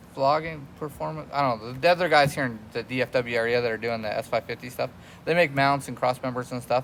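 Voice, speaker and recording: A man with a medium pitch rattles along very fast, his intonation fairly even. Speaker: car mechanic and video host. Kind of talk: casual shop talk to camera.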